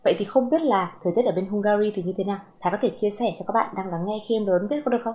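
Talking very fast with hardly any pauses, a woman has a somewhat breathy, dark, mellow voice at medium pitch with ordinary pitch variation. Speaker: podcast host. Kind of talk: casual interview.

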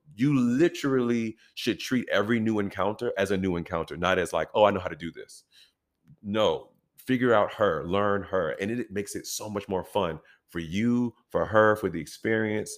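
Speaking in an American accent at a moderate pace, a man has an unremarkable speaking voice, fairly low in pitch with ordinary pitch variation, in a very clean recording with a silent background. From US. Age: 30s. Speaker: actor. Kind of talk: casual chat.

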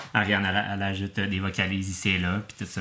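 A man with a Quebec accent speaks very fast. His voice is fairly low in pitch with a bright, sharp tone. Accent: Québécois French. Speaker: metal band musician and composer. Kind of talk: casual interview chat.

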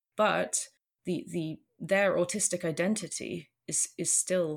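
In a British accent, a woman speaks at a very slow pace. Her voice sits fairly low, with fairly even intonation. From UK. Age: 30s. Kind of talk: casual interview chat. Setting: remote call.

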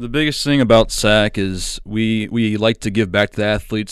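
A man speaks with a Midwestern US accent at a fairly low pitch. The recording is very clean, with a silent background. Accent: US Midwest. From small-town Iowa, US Midwest. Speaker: college student and sports announcer. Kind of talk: casual interview.

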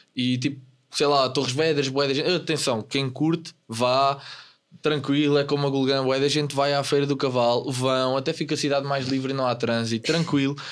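Moderate pace, flat monotone intonation, and very even loudness throughout. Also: man, fairly high pitch for a man. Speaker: podcast co-host. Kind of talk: casual chat.

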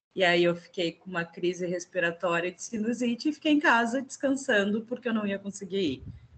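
Speaking at a fairly quick clip with hardly any pauses, a woman with a medium pitch and a somewhat breathy voice uses lively intonation and big swings in loudness. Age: 40s. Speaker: entrepreneur. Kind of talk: casual chat.

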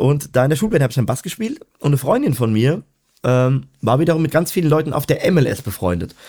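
This man has a dark, mellow tone with vocal fry. His intonation is lively and his pace fairly quick. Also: fairly high pitch for a man. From Germany, Odenwald (southern Hesse). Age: 20s. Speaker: professional musician and music teacher. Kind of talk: casual chat.

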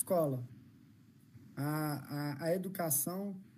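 There is audible room echo around this man's dark, mellow tone, and his intonation stays fairly even. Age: 30s. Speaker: inclusion consultant and speaker. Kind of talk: live-stream interview. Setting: video call.

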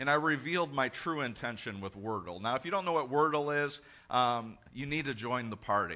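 Loud and bright with a sharp tone, a man talks at a fairly quick pace, his fairly high pitch carried by lively intonation. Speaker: pastor. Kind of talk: sermon. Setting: church.

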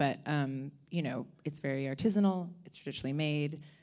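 A woman with an American accent and a very deep, low pitch talks at a moderate pace. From California, Ojai. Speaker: spirits company co-founder. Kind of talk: panel discussion.

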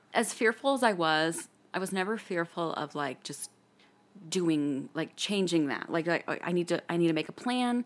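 A woman at a moderate pace and fairly low pitch, lively intonation, a plain, everyday voice, on a very clean recording with a silent background. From US, military family, moved around. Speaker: podcast guest, old friend of host. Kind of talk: casual chat.

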